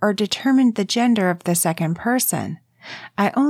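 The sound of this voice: The background is quiet as an unforced reading voice carries the text.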